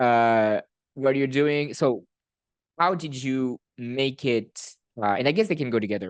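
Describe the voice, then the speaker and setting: A man with a non-native accent at a medium pitch, ordinary pitch variation, a fairly slow pace and long, frequent pauses, against a quiet background with a dry, close sound and no echo. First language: not English. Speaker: student newspaper editor-in-chief and podcast host. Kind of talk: casual podcast conversation.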